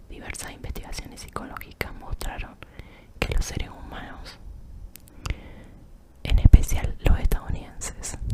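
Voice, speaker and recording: Whispering at a fairly slow pace, a woman leaves long, frequent pauses, with big swings in loudness and noticeable background noise. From Argentina. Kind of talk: ASMR reading. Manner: whispered.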